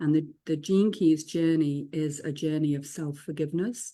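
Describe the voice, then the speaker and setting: A woman with an English accent, a very deep, low pitch, a dark, mellow tone and a moderate pace, on a very clean recording with a silent background. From England. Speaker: spiritual teacher and author. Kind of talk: casual group discussion.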